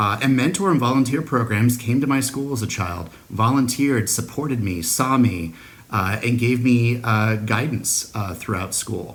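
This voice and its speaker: Ordinary pitch variation runs through a man's medium-pitched voice at a moderate pace. Audible room echo surrounds it. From US Pacific Northwest, Seattle. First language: Spanish. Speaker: school district superintendent. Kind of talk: recorded address to an award ceremony. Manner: frequent filler words (uh, um).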